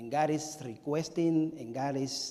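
In a room with audible echo, a man with a Spanish accent talks at a fairly high pitch in a dark, mellow tone. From Cuba. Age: 40s. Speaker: pastor. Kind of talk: sermon. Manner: animated.

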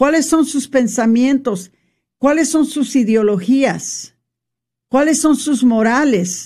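A woman speaks at a high pitch with a dark, mellow tone. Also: quiet background. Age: old. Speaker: radio host. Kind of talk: faith-based radio talk.

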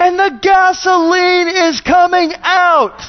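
A put-on character voice, shouting at an extremely high pitch and a fairly slow pace. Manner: yelling, agitated.

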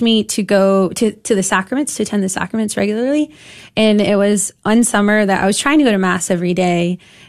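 A woman with an American accent has a plain, everyday voice at a medium pitch, with ordinary pitch variation. She talks at a moderate pace over a quiet background. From Granbury, Texas. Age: 20s. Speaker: campus ministry team director. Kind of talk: radio interview.

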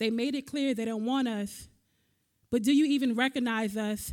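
A woman with a high pitch speaks at a moderate pace with fairly even intonation. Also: very clean recording, silent background. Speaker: spoken-word poet. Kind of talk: spoken-word poetry performance.

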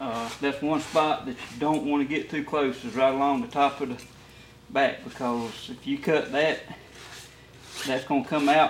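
A man speaks at a moderate pace in a Southern US accent, his pitch fairly high. His intonation stays fairly even over noticeable background noise. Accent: Southern US (Georgia). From US South, Middle Georgia. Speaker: taxidermist. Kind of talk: tutorial. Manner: halting.

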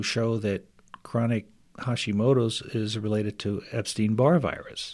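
At a fairly slow pace, a man with a plain, everyday voice speaks at a medium pitch with fairly even intonation. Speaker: chiropractor and functional medicine practitioner. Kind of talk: radio interview. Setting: studio.

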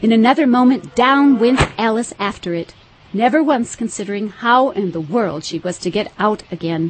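Speaking at a moderate pace, a woman uses a fairly high pitch. Her intonation is lively. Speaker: audiobook narrator. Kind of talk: dramatic audiobook narration, storybook reading. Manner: expressive, storytelling pace, animated.

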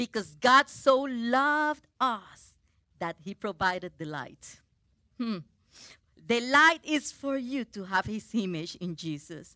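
A woman with a Spanish accent speaks very slowly in a fairly high pitch and a bright, sharp tone, with very wide pitch swings and big swings in loudness. The recording is very clean, with a silent background and a dry, close sound with no echo. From Puerto Rico. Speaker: preacher. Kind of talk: sermon. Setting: church. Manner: halting.

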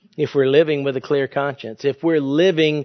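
Using an ordinary speaking voice, a man talks at a fairly high pitch with fairly even intonation. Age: 50s. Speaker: pastor. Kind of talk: sermon.

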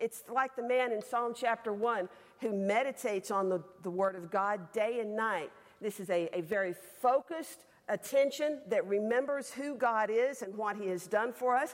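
Speaking with a Southern US accent, a woman uses a fairly high pitch with ordinary pitch variation. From Alabama. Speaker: women's Bible class teacher. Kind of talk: sermon. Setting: stage with audience. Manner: fast.

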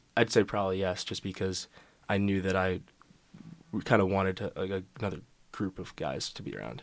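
With a very deep, low pitch and vocal fry, a man talks at a fairly quick pace broken by long, frequent pauses, with ordinary pitch variation, on a very clean recording with a silent background. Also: big swings in loudness. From New York. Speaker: college student, fraternity member. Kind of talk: casual interview chat.

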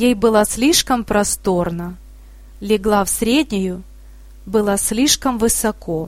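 Plain reading aloud with ordinary pitch variation fills the clip.

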